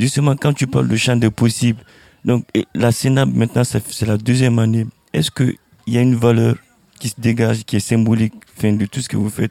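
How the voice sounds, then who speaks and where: A man of medium pitch speaks with fairly even intonation and long, frequent pauses, in a dry, close sound with no echo. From Guinea. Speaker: artist. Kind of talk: panel discussion. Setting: outdoors.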